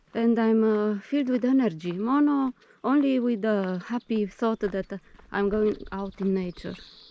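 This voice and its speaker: A woman with a non-native accent, fairly high-pitched, at a fairly slow pace with ordinary pitch variation. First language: not English; speaks Greek daily for 20 years. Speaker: vlogger. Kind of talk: casual vlog narration. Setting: outdoors on a nature path. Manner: hesitant, many fillers.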